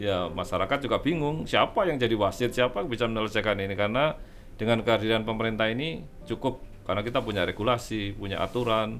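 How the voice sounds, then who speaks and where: Music plays in the background as a man talks at a very fast pace. His pitch is medium, with ordinary variation. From East Java, Surabaya. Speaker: consumer protection official. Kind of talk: interview.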